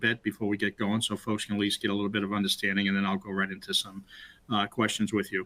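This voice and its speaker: In a Boston accent, a man with a fairly low pitch and a bright, sharp tone speaks at a very fast pace. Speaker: webinar host, former state CIO. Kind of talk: webinar conversation. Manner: halting, many fillers.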